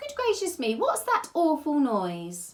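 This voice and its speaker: In a put-on character voice, a woman sounds squeaky and high-pitched. She speaks at a fairly slow pace. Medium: read story.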